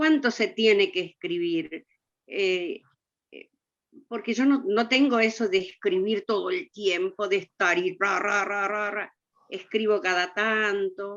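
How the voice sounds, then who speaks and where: A woman with a medium pitch and ordinary pitch variation talks at a very slow pace. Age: 60s. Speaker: audience member. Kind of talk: audience question.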